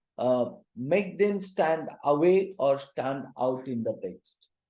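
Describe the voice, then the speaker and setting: Dark, mellow tone from a man, lively intonation, a very slow pace and audible room echo. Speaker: teacher. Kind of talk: lecture. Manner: quiet; halting.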